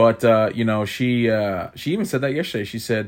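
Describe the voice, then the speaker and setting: On a very clean recording with a silent background, a man with an ordinary speaking voice talks at a fairly low pitch and with fairly even intonation. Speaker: podcast host. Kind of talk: casual chat.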